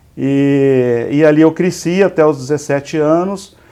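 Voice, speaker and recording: Here a man speaks in a dark, mellow tone. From Brazil, interior of São Paulo state (Igarapava, near Minas Gerais). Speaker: business executive, civil engineer. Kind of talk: interview. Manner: halting, many repetitions and fillers.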